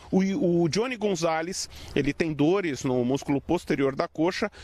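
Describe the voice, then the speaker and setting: At a moderate pace, a man with a high pitch and ordinary pitch variation speaks in a dry sound with no echo. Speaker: TV sports reporter. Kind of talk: live news report. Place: stadium. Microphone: handheld.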